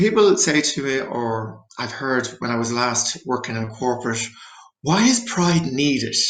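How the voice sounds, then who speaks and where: With an Irish accent, a man talks in very wide pitch swings, and the room echo is audible. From Ireland. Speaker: therapist. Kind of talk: presentation.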